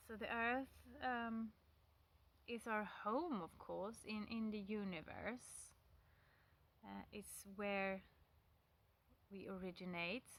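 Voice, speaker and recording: The woman talks in a non-native accent with fairly even intonation. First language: not English. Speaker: pagan vlogger. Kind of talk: casual talk to camera. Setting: outdoors by a stone wall. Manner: hesitant, many fillers.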